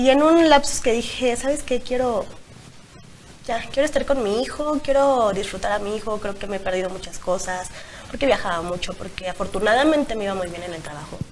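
Over light background noise, the speech moves at a fairly quick pace with very wide pitch swings and big swings in loudness. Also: woman, fairly high pitch for a woman. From Mexico. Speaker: blogger and single mother; talk show guest. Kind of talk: interview. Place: studio.

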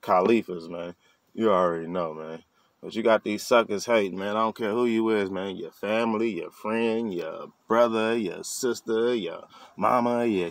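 In a dry sound with no echo, a man speaks with fairly even intonation. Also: moderate pace. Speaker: vlogger. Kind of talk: casual vlog chat. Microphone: phone near.

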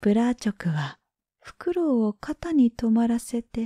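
A woman speaks very slowly in a high-pitched, dark, mellow voice with a relaxed, calm tone. Her pitch swings very widely, and the sound is dry and close with no echo. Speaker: freelance announcer, former TV network caster. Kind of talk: folk tale reading. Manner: slow, relaxed, calm.

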